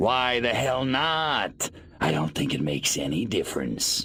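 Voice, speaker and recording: A man in a put-on character voice, medium in pitch, at a moderate pace, with light background noise. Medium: video game. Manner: wisecracking, irreverent.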